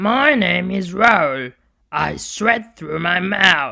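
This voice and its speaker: A raspy put-on character voice at middle pitch speaks very slowly. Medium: read story.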